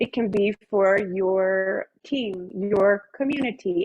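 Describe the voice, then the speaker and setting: A woman has a normal speaking voice at a medium pitch. Her pitch varies in an ordinary way. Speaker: wellness presenter. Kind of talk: guided meditation; presentation.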